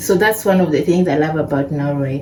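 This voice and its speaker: A woman speaks at a moderate pace with ordinary pitch variation, amid audible room echo and noticeable background noise. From Kenya. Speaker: vlogger. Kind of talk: casual vlog talk. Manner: conversational, informal.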